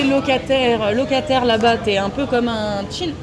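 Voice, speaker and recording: Amid crowd noise in the background and audible room echo, a woman talks with a high pitch and ordinary pitch variation. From Paris region, France. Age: 20s. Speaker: traveller. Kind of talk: casual interview. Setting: restaurant.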